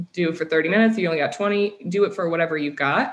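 A woman with a Midwestern American accent talks at a very fast pace. Her pitch sits fairly low, with ordinary variation. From US Midwest. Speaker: sales tech startup founder. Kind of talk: casual interview.

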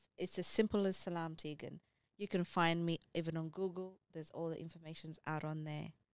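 A woman's fairly low, monotone voice with flat intonation and big swings in loudness. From Ethiopia, schooled in Kenya. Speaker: nurse. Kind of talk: casual chat.

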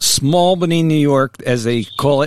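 A man with an American accent in a normal speaking voice, at a moderate pace with ordinary pitch variation and a dry, close sound with no echo. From New Jersey. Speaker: podcast host and senior editor. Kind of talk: casual interview.

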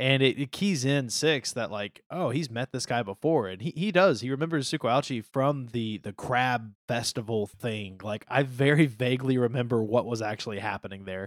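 Here a man talks at a moderate pace in an unremarkable speaking voice of medium pitch. The recording is very clean and dry, close with no echo and a silent background. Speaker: podcast co-host. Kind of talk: casual podcast discussion of a comic.

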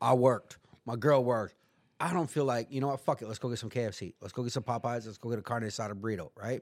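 This man, with an American accent and a medium pitch, talks at a very fast pace with ordinary pitch variation. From US West, San Diego area. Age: 40s. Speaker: person in addiction recovery, former prisoner. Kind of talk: casual chat.

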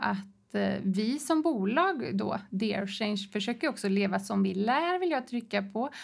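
On a very clean recording with a silent background, a woman speaks at a fairly high pitch with lively intonation. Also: very even loudness. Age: 40s. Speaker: tech company founder and leadership expert. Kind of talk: casual interview. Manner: animated.

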